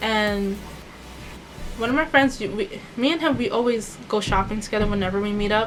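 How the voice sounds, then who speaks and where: A woman's fairly high voice with long, frequent pauses and noticeable background noise. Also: ordinary pitch variation. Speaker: beauty vlogger, former retail worker. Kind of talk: storytime vlog. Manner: fast; casual, conversational.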